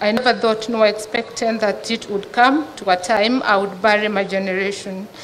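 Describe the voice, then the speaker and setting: There is light background noise as a woman talks at a moderate pace with fairly even intonation. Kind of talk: eulogy read aloud. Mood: sad, solemn. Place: tent. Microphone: podium.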